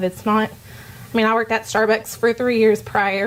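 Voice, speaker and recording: A woman with a mid-level pitch talks fairly quickly while clear background noise is heard. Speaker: dietetic intern, student speaker. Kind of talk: informal talk to students. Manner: fast; animated.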